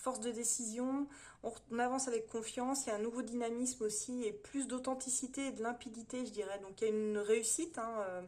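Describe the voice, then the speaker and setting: A woman talks at a fairly quick pace and a fairly high pitch. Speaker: tarot reader. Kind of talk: tarot reading monologue. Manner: fast; hesitant, many fillers.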